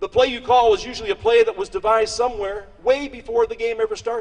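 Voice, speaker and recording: This man speaks with a western Pennsylvania accent and an extremely high pitch. His pace is fairly quick and his intonation lively. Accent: western Pennsylvania American. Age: 60s. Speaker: politician. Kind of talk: political speech.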